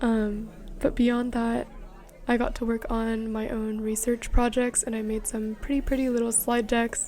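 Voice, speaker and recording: Over background music, a woman talks at a fairly slow pace in a fairly high pitch with monotone, flat intonation. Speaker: vlogger. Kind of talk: casual vlog narration. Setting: at home.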